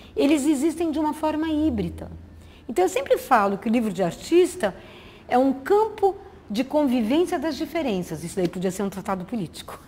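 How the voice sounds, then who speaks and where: Her pitch high, a woman speaks with very wide pitch swings. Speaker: visual artist. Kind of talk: lecture. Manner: fast.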